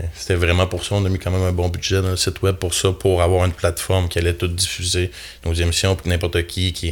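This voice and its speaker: A man with a very deep, low pitch talks at a very fast pace. His intonation is monotone and flat, and his voice is somewhat breathy. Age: 30s. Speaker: carpenter foreman and outdoor TV show host. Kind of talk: casual chat.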